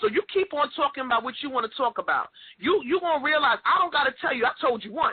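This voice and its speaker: A woman with a New York accent, high in pitch, very fast, with lively intonation and an animated tone. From New York, Queens. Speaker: podcast host. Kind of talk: casual chat.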